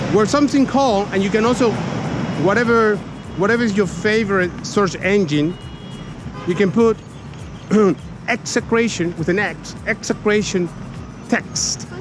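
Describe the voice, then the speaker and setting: Music plays behind a man with a high pitch who speaks at a moderate pace, his tone animated. His loudness stays very even, broken by long, frequent pauses. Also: ordinary pitch variation. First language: Spanish. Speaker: tour guide and archaeologist. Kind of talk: guided tour explanation. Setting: outdoors walking around city walls. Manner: animated, repetitive stammering.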